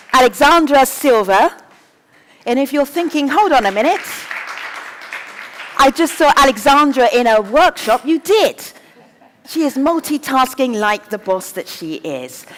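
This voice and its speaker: Over crowd noise in the background, a woman speaks with a high pitch and lively intonation. Her pace is fairly slow, with long, frequent pauses. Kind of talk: moderating a panel. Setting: conference stage with audience. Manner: loud.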